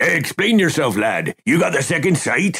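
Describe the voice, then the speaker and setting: Put-on character voice from a man, raspy and gruff, high in pitch, at a moderate pace. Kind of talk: old-fashioned pirate speech. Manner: demanding, gruff.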